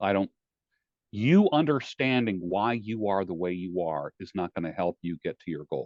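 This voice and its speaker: At a moderate pace, a man talks with lively intonation at a fairly low pitch. He has an ordinary speaking voice. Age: 60s. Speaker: life coach. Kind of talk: interview. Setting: podcast. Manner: direct.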